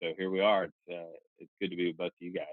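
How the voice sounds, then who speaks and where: Words pour out at a very fast pace from a man speaking in an American accent. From North Carolina. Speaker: podcast co-host. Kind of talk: casual chat.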